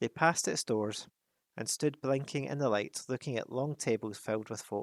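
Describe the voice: The reading aloud is plain, with ordinary pitch variation. Nothing much stirs in the quiet background.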